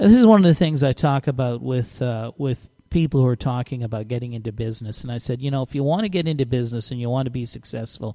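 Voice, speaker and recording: A man's medium-pitched, dark, mellow voice at a very fast pace, with hardly any pauses and ordinary pitch variation. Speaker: radio host. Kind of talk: interview. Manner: halting, stuttering.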